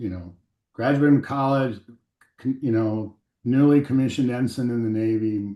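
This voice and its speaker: Speaking with an American accent, a man has a dark, mellow tone and fairly even intonation. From US Midwest (western Nebraska). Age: 60s. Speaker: aviation company CEO. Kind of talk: podcast interview. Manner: halting, many fillers.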